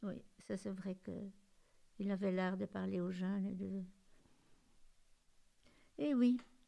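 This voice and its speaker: A dark, mellow tone delivered at a very slow pace. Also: woman. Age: 80s+. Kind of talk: interview answer.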